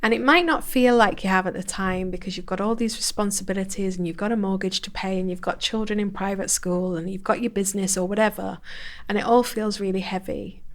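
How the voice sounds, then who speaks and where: A woman speaks at a very fast pace in a northern English accent. Her intonation is fairly even. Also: medium pitch for a woman. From northern England, Bolton. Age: 40s. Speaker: personal growth coach. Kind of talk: podcast interview.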